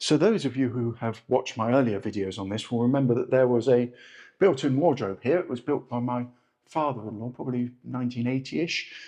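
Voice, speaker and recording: A man with a British accent speaks at a fairly quick pace in a dark, mellow tone. His pitch is medium with ordinary variation, and the background is quiet. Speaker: travel and home vlogger. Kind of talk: casual video vlog walkthrough. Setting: indoors at an apartment under renovation. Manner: fast.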